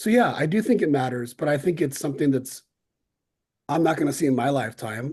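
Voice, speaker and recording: This man's voice is somewhat breathy. He talks at a fairly quick pace. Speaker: civics panelist. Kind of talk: panel discussion. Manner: fast.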